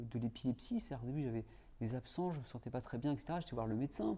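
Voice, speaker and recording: The man's tone is dark and mellow. His intonation rises and falls in a lively way. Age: 40s. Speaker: film director and patient partner. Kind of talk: testimony. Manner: halting, many hesitations and repetitions.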